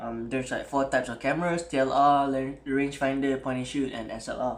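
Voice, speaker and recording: Some room echo can be heard as a man with a Malaysian accent talks at a moderate pace with a fairly high pitch. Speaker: camera hobbyist YouTuber. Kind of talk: tutorial. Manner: casual, code-switching English and Malay; hesitant, many fillers.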